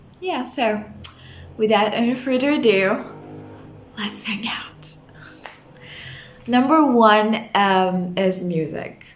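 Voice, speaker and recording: A woman's fairly high, somewhat breathy voice with lively intonation, very slow pace and long, frequent pauses, plus audible room echo. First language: not English. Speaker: vlogger. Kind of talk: casual talk to camera. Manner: hesitant fillers.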